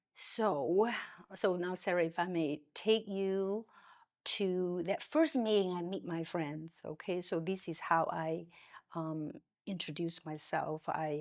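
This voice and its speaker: In a Chinese accent, a woman speaks very slowly at a fairly low pitch with ordinary pitch variation, on a very clean recording with a silent background. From China. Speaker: psychiatrist. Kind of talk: interview conversation. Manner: halting, with frequent fillers and self-corrections.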